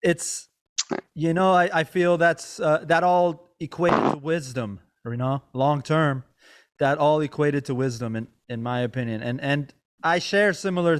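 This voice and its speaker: On a very clean recording with a silent background, a man with a normal speaking voice talks at a moderate pace in a fairly high pitch, with ordinary pitch variation. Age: 30s. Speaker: podcast host and comedian; music teacher. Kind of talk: casual chat.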